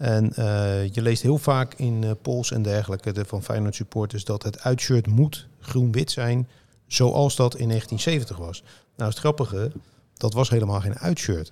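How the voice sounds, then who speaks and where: A man speaks in a dark, mellow tone at medium pitch. His voice is somewhat breathy, with ordinary pitch variation. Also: fairly slow pace. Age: 50s. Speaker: football journalist and author. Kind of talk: casual chat.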